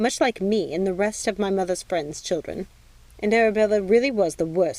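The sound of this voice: An unforced reading voice is heard here.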